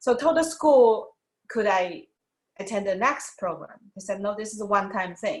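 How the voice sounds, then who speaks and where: A woman speaks with a Chinese accent. Her voice is somewhat breathy. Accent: Mandarin Chinese accent in English. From China, Wuhan. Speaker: doctor, former TV host. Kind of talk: interview. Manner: halting.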